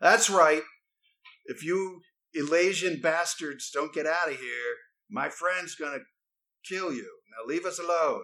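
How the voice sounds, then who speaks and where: A put-on character voice at a fairly slow pace, broken by long, frequent pauses. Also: man, high pitch for a man. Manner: hostile, threatening.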